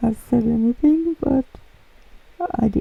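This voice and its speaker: This woman's voice is high-pitched. She speaks in a Norwegian accent. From Norway. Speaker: nail art youtuber. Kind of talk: tutorial voiceover. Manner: casual, hesitant with fillers.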